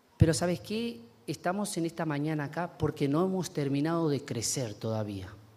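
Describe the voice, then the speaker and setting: A man speaks at a moderate pace with lively intonation. His tone is dark and mellow, his pitch fairly high. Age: 40s. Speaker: pastor. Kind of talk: sermon.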